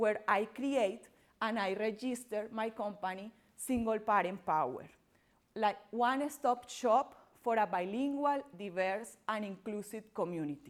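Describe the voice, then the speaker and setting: Speaking at a fairly slow pace, a woman with a strong Colombian accent uses a fairly high pitch and ordinary pitch variation. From Colombia, Barranquilla (Caribbean coast). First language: Spanish. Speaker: entrepreneur and workshop presenter. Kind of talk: workshop presentation. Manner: loud; halting, non-native phrasing.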